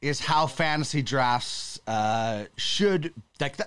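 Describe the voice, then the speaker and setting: A man with a Canadian accent speaks in a bright, sharp tone at a fairly high pitch, with very wide pitch swings. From western Canada. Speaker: sports podcast host. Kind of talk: casual chat.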